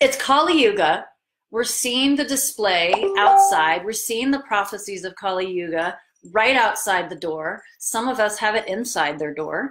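Music plays in the background as a woman speaks. Her pace is fairly slow and her intonation lively. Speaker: yoga teacher. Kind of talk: live stream talk to viewers. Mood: open, slightly vulnerable. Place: home room. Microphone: webcam.

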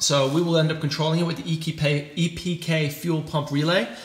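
There is audible room echo. A man talks at a moderate pace. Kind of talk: casual vlog chat. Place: garage. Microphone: phone near.

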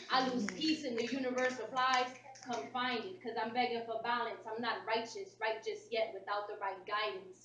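The recording carries light background noise. Audible room echo is present too. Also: woman. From US Northeast, Philadelphia. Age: 20s. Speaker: spoken word poet. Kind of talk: spoken word performance. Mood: intense, reflective, defiant. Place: hall. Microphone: camera far.

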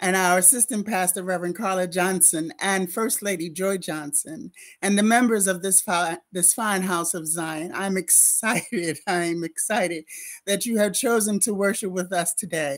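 A quiet background sits behind the voice. The speech moves at a moderate pace. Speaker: minister welcoming the congregation. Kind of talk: church welcome address. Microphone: webcam.

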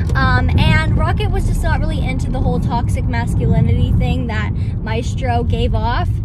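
The recording of a woman's voice is dry with no echo but carries loud background noise. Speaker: vlogger. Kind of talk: casual vlog chat. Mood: playful storytelling. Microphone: phone near.

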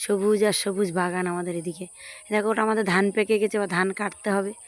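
Monotone, flat intonation in a woman's medium-pitched voice. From Sundarbans, West Bengal. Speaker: village lifestyle vlogger. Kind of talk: casual vlog narration. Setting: outdoors in a field.

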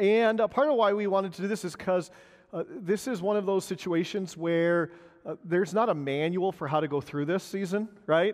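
With a high pitch and ordinary pitch variation, a man speaks at a moderate pace in a quiet setting. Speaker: pastor. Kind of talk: congregation meeting address. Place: church.

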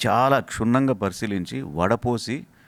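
Here is a man with a plain, everyday voice at medium pitch. His intonation is lively. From Rayalaseema, Andhra Pradesh (Kurnool district). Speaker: university vice chancellor and physics professor. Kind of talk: interview. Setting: on location at university.

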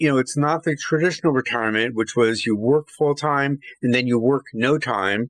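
A man's medium-pitched, plain, everyday voice at a moderate pace, with ordinary pitch variation, dry, close sound with no echo and a quiet background. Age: 60s. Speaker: journalist. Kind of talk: podcast interview.

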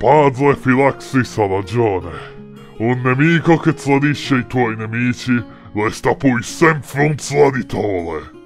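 Over clear background music, a man puts on a character voice at a medium pitch and a fairly slow pace. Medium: read story. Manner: contemptuous, menacing.

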